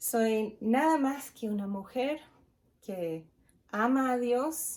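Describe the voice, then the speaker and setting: This woman's voice is high-pitched with lively intonation. She speaks at a very slow pace. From United States. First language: English (speaking Spanish). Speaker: pastor's wife, speaker at women's event. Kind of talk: devotional talk.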